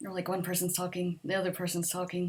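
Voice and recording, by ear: A soft-spoken woman's fairly low voice, slightly husky and slightly mellow, fast and in a monotone, flat intonation.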